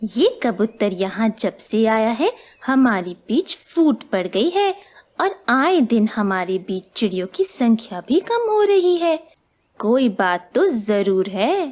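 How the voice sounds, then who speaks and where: A cartoonish character voice that sounds female speaks at a fairly slow pace with a fairly high pitch. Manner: calm, reasoning.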